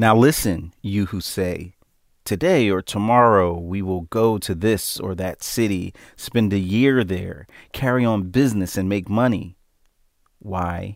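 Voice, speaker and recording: The man has a normal speaking voice, fairly low in pitch with ordinary pitch variation. He talks at a fairly slow pace on a very clean recording with a silent background. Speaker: Bible study participant. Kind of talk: small group Bible study conversation.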